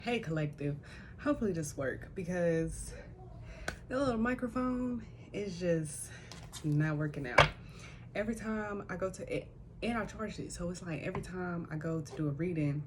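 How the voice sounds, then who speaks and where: Soft-spoken, a woman talks with long, frequent pauses, while audible room echo and noticeable background noise fill the recording. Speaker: tarot reader and spiritual death doula. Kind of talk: spiritual reading. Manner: casual, conversational. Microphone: small microphone unreliable, voice quiet.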